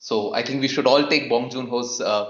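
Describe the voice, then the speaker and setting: In a Keralan accent, a man talks at a moderate pace and medium pitch with lively intonation, his voice carrying audible room echo. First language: Malayalam. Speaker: film podcast host. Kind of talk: casual podcast discussion.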